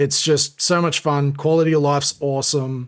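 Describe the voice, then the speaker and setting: Recorded very cleanly against a silent background, a man with an Australian accent speaks at a fairly high pitch and a moderate pace. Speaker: gaming streamer. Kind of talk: tutorial. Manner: casual, filler-heavy.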